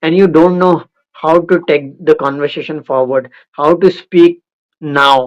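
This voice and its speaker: A man's fairly high voice at a fairly slow pace, with fairly even intonation. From India. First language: Indian language. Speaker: conversation practice host. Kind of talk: casual chat.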